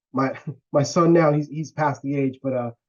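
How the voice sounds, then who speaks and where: A man at a moderate pace, an ordinary speaking voice with fairly even intonation. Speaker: interviewer. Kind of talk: interview. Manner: casual.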